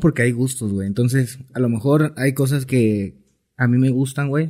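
A man speaks at a moderate pace and medium pitch in a dark, mellow tone. His pitch varies in an ordinary way on a very clean recording with a silent background. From Mexico, Cancún (Quintana Roo). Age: 20s. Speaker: music producer. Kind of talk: casual chat.

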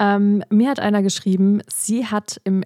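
The recording is dry and close, without any echo. A woman talks fairly slowly. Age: 20s. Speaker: instagram creator and podcaster. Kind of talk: casual chat. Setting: video call. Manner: animated.

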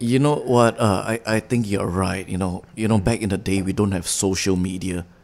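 A man with an unremarkable speaking voice talks at a moderate pace, his fairly low pitch carried in fairly even intonation. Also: hardly any pauses. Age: 30s. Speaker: actor. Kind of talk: casual chat.

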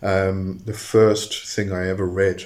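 The speaker is a man with a very deep, low pitch. His voice is somewhat breathy. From England (Coventry), moved to South Africa at almost eleven. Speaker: podcast host on witchcraft and magic. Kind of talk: solo podcast talk. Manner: hesitant, many fillers.

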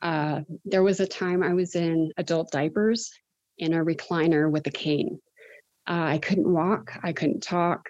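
This is a normal speaking voice from a woman with fairly low pitch. She talks at a fairly slow pace with ordinary pitch variation. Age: 40s. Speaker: cannabis dispensary worker. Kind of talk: interview.

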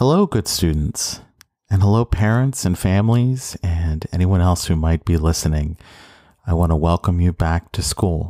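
In an American accent, a man speaks at a moderate pace with a very deep, low pitch, ordinary pitch variation, and very even loudness. His tone is dark, mellow and warm, and the recording is very clean and dry, close with no echo and a silent background. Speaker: high school civics teacher. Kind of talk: recorded welcome message. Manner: warm, with occasional laughs.

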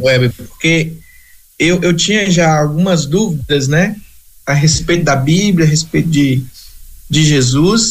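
Long, frequent pauses break up a man's very slow speech. His pitch is fairly high, with ordinary variation. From Brazil, Espírito Santo (rural). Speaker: missionary. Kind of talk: interview.

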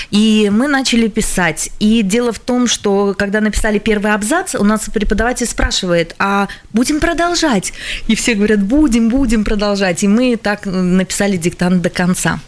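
In a Latvian accent, a woman talks at a moderate pace with fairly high pitch, ordinary pitch variation and very even loudness over noticeable background noise. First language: Latvian (speaking Russian). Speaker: language teachers' association head. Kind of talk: radio studio discussion. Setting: radio studio.

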